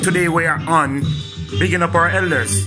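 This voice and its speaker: Clear music plays in the background as a man speaks at a moderate pace with very wide pitch swings. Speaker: vlogger. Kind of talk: casual talk to camera. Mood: warm, respectful. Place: home room. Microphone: phone near.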